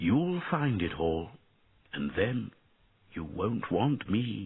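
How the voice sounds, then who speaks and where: Quietly and at a very slow pace, a man does a put-on character voice with very wide pitch swings. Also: fairly low pitch for a man. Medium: read story. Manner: quiet, sad.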